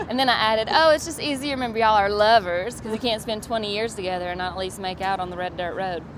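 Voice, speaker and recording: A woman with a Southern US accent talks very fast, barely pausing, in a fairly high voice with ordinary pitch variation. Background noise is noticeable. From US South, Georgia. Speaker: stand-up comedian. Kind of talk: interview, comedic storytelling. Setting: comedy festival interview.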